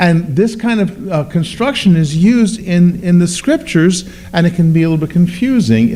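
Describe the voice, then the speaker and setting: A man's voice over noticeable background noise. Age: 60s. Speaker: pastor. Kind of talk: bible class teaching. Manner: halting.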